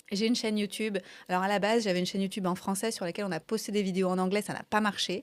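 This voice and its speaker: A woman talks very fast in an enthusiastic tone at a medium pitch. The recording is very clean, with a silent background. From France. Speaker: coach. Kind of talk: interview conversation.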